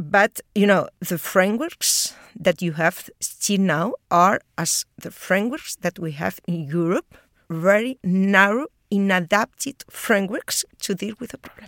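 Recorded very cleanly with a silent background and a dry, close sound with no echo, the speaker talks at a fairly slow pace in a Spanish accent, with big swings in loudness and ordinary pitch variation. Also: woman, medium pitch for a woman. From Spain. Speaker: geography professor. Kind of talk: interview. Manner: halting, many fillers.

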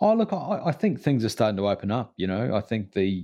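Against a quiet background, a man with a New Zealand accent talks at a very fast pace in a dark, mellow tone. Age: 50s. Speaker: podcast co-host. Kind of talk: casual chat.

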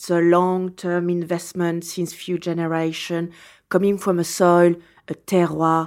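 Speaking fairly slowly with a French accent, a woman keeps her fairly low voice in a flat monotone on a very clean recording with a silent background. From France, Champagne region (Reims). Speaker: champagne house owner. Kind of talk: interview. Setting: in person in Melbourne.

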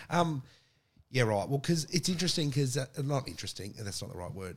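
A man talks with lively intonation in an Australian accent. The recording is very clean, with a silent background. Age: 30s. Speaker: podcast host. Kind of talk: casual interview.

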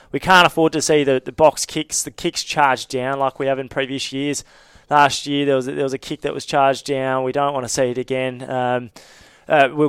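A man talks at a fairly quick pace in a fairly high pitch, his intonation monotone and flat. The sound is dry and close with no echo. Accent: Australian. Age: 20s. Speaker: rugby journalist. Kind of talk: casual chat. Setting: studio.

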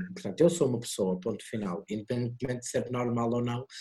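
Somewhat breathy and at a fairly quick pace, a man speaks with a medium pitch and a dark, mellow tone. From Portugal, Porto. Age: 30s. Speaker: drag performer and makeup artist. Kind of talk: online talk. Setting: video call. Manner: halting.

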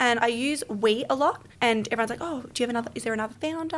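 Over noticeable background noise, a woman with an Australian accent talks at a fairly quick pace in a raised, projected voice with lively intonation. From Melbourne. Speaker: podcast guest, business founder. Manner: fast talker.

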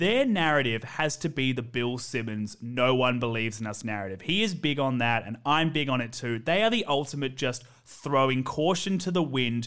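A man with an Australian accent talks at a moderate pace, with hardly any pauses, in a medium pitch. His tone is animated and his intonation lively. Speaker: podcast host. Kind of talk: casual chat. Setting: remote call with guest.

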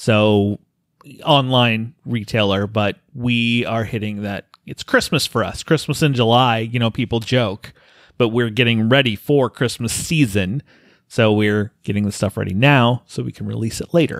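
A man talks at a moderate pace and medium pitch in an unremarkable speaking voice with fairly even intonation. The sound is dry and close with no echo, and the recording is very clean with a silent background. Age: 40s. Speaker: podcast host. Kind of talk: casual chat.

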